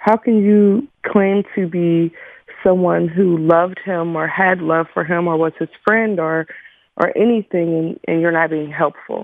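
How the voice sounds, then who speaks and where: A woman's fairly low, unremarkable speaking voice with an American accent, fairly even intonation and a fairly slow pace. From Pittsburgh, Pennsylvania. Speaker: grieving mother. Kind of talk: radio interview.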